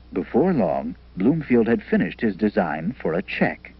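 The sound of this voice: A man's fairly low voice at a fairly slow pace, with big pitch swings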